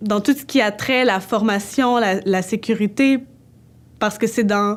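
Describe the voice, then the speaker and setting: A woman talks at a fairly slow pace with a fairly high pitch. Her intonation is fairly even and her loudness very even. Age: 20s. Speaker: dance student. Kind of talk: personal testimony. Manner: hesitant, with fillers.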